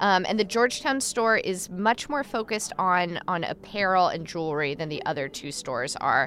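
A woman at a medium pitch speaks with very wide pitch swings. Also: moderate pace. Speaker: radio host and reporter. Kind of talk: casual interview and reported feature.

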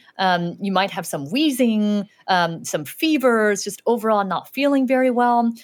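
Fairly high in pitch, a woman speaks with lively intonation at a fairly slow pace. The recording is very clean, with a silent background. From Southern California, born in Shanghai. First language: Chinese. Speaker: doctor. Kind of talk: radio interview answering kids' questions.

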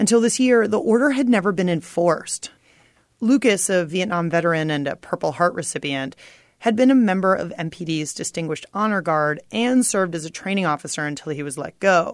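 Over a quiet background, a woman speaks with an unremarkable speaking voice at medium pitch. Her intonation is lively and her pace fairly quick. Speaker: radio reporter. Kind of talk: scripted news report.

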